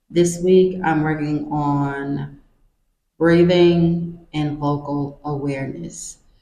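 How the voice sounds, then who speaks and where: Her pitch very deep and low, a woman speaks with fairly even intonation. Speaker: vlogger. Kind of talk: casual vlog. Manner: casual, conversational.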